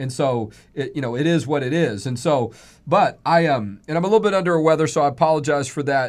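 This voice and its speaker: A man with an American accent at a very fast pace, on a very clean recording with a silent background. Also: fairly high pitch for a man, ordinary pitch variation. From Texas. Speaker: radio host and nonprofit president. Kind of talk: radio show conversation with guest. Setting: studio, streamed live on Facebook.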